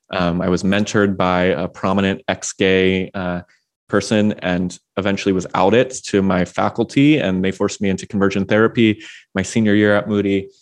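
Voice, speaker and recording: This is a plain, everyday voice: a man with an American accent, fairly low in pitch and fairly even in intonation. He talks at a fairly quick pace over a quiet background. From Washington D.C., US. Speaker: progressive pastor and author. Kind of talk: interview conversation.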